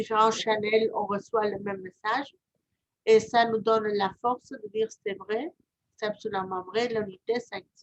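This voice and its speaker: With a southern French accent, the speaker talks at a fairly slow pace with fairly even intonation and big swings in loudness, the sound dry and close with no echo. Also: woman. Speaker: reiki practitioner and channeler. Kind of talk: casual chat.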